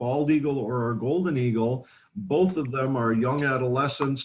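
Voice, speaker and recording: A somewhat breathy man at a fairly slow pace. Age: 60s. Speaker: bird sanctuary educator. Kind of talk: educational talk.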